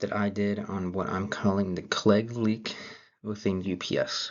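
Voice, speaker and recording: A man speaks with a fairly low pitch. His voice is soft-spoken. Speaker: college student. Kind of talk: class presentation. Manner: hesitant, many fillers.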